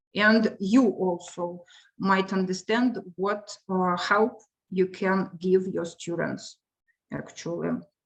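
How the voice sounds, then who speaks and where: With fairly even intonation, a woman talks at a medium pitch and a very slow pace. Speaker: English teacher. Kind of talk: lecture. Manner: halting.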